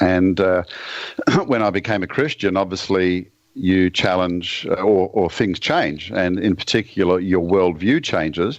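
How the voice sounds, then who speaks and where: This man speaks at a fairly slow pace in a very deep, low voice with an Australian accent, ordinary pitch variation and very even loudness. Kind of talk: podcast interview.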